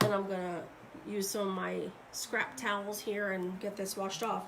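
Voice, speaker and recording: With clear background noise and echo from the room, this woman talks rather unhurriedly. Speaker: craft demonstrator and seller. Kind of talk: live tutorial. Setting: live stream at home desk. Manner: casual, chatty; quiet while focusing.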